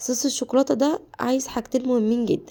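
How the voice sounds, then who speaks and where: Here a woman speaks at a fairly high pitch. Her tone is dark and mellow. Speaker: cooking channel host. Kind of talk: cooking tutorial. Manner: halting, many self-corrections.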